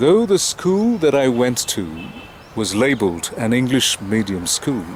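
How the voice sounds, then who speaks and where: A man talks at a very slow pace. His intonation is lively, with noticeable background noise. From India. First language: not English. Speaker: English teacher. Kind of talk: personal talk to camera.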